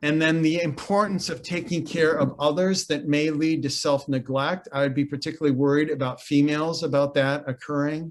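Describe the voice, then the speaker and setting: This man's fairly high voice moves at a fairly quick pace with fairly even intonation and hardly any pauses. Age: 60s. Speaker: mental health organization CEO. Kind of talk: webinar presentation. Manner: halting, many repeated words and fillers.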